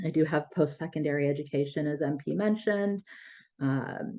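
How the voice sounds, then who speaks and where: Against a quiet background, a woman with an American accent speaks at a fairly quick pace in a very deep, low pitch with a dark, mellow tone. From US, raised by Sri Lankan Tamil immigrants. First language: Tamil. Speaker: breath practice teacher and yoga therapist. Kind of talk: podcast interview. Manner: hesitant, many fillers.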